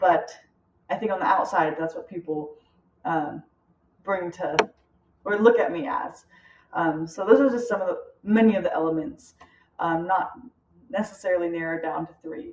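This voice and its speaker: A woman with an American accent speaks at a moderate pace with ordinary pitch variation, big swings in loudness, and long, frequent pauses. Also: medium pitch for a woman. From United States. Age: young. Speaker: student. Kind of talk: class presentation. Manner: hesitant, many fillers.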